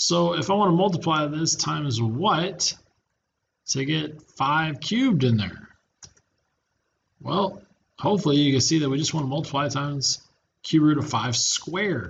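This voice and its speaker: With long, frequent pauses, a man talks at a moderate pace in a somewhat breathy, fairly high-pitched voice showing ordinary pitch variation. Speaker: math teacher. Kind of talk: lecture.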